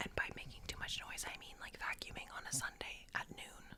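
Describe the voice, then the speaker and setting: Whispering at a moderate pace, a woman is heard against noticeable background noise. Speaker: podcast co-host. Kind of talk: casual chat.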